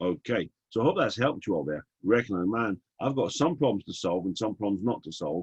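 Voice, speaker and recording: Speaking with an English accent at a very fast pace, a man makes very wide pitch swings in a dry, close sound with no echo. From England. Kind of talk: webinar teaching session. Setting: online webinar. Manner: animated.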